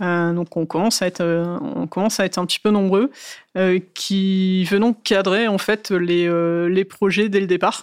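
A woman of medium pitch talks with a normal speaking voice and fairly even intonation. The recording is very clean, with a silent background. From northern France, Valenciennes. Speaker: cloud security officer. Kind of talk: interview.

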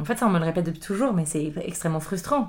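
A woman's very fast speech over noticeable background noise. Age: 30s. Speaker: chef and table d'hôte host. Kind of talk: casual interview conversation. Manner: halting, frequent repetitions.

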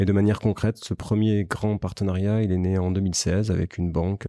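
A man talks at a moderate pace in a very deep, low voice with a dark, mellow tone. His intonation stays monotone and flat. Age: 30s. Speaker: startup founder and CEO. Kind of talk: interview. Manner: hesitant, many fillers.

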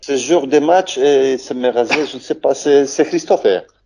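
Very slowly, a man speaks in a dark, mellow tone. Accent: Polish. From Poland. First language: Polish (speaking French). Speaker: former footballer. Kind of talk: interview. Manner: halting.

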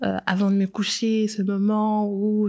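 Speaking at a very slow pace, a woman uses a medium pitch and a dark, mellow tone with monotone, flat intonation. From Switzerland, Geneva. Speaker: communications professional. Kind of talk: testimony.

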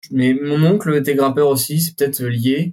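This man has an unremarkable speaking voice with a fairly high pitch. He talks at a fairly slow pace with fairly even intonation. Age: 20s. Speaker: urban climber. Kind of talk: casual interview.

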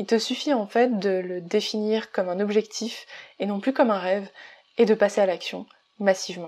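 At a moderate pace, a woman has an unremarkable speaking voice with a medium pitch and fairly even intonation. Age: 20s. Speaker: business coach and podcaster. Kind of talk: solo podcast monologue.

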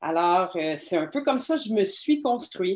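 A woman with a Quebec accent speaks at a medium pitch. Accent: Québécois French. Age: 40s. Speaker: documentary filmmaker and explorer. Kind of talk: interview.

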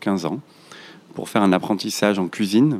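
Fairly even intonation in a man's fairly low-pitched speech. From Marseille, France. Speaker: restaurant chain founder. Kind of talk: interview conversation. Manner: hesitant, many fillers and repetitions.

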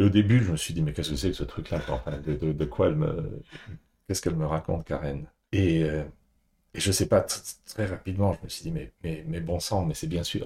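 At a moderate pace with long, frequent pauses, the voice carries a dark, mellow tone and vocal fry in a very clean recording with a silent background. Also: man, very deep, low pitch for a man, ordinary pitch variation. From France, Paris. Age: 60s. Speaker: executive coach, former banker. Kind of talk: podcast interview. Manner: halting, with repetitions.

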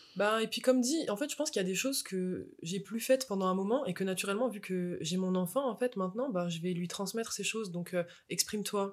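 A woman's unremarkable speaking voice, medium in pitch, at a fairly quick pace with ordinary pitch variation. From France, Moselle. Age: 20s. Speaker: mother and artist. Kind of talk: casual interview chat.

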